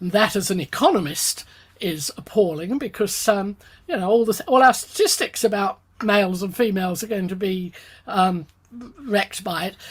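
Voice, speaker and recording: Somewhat breathy, a woman speaks at medium pitch and a moderate pace. Her pitch variation is ordinary. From England, London. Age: 70s. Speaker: economist. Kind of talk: interview. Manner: halting, many fillers.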